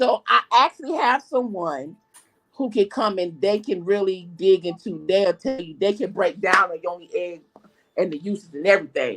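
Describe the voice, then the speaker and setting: With music in the background, the speaker goes at a moderate pace. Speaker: crystal practitioner. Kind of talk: casual chat. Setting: live video stream.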